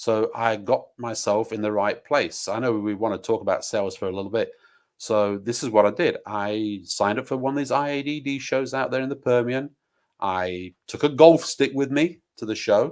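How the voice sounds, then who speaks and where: A man at medium pitch with an English accent, in a very clean recording with a silent background. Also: ordinary pitch variation. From England, Nottingham. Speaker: oil and gas sales manager. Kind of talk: interview. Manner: talkative, fast.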